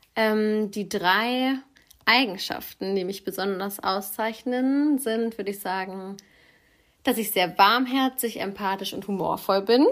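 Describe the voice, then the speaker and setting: A woman's fairly high voice at a very slow pace. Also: ordinary pitch variation. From Göttingen, Germany. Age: 20s. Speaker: student. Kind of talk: voice message self-introduction; casual chat.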